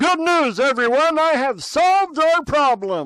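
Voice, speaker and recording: Putting on a character voice, a man talks at a fairly slow pace with extremely high pitch. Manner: upbeat.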